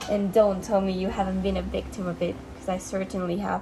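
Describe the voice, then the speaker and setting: A woman with a non-native accent, noticeable background noise behind her. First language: not English. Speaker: video essayist. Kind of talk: video essay. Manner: casual, conversational.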